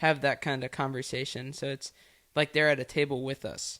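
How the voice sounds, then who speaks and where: A man talks at a moderate pace with a fairly high pitch. His intonation is monotone and flat, and the recording is very clean with a silent background. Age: 20s. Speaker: racing podcast host, guest. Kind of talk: casual chat. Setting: studio.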